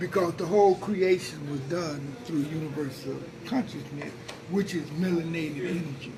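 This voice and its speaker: There is noticeable background noise as a man speaks at a moderate pace. His voice is fairly high-pitched, with ordinary pitch variation. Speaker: spiritual elder, teacher. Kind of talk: interview answer, teaching talk.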